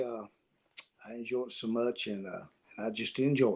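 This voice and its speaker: This is a man speaking with a Tennessee accent. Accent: Southern US (Tennessee). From US South, Tennessee (Nashville). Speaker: country songwriter. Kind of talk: interview. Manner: halting.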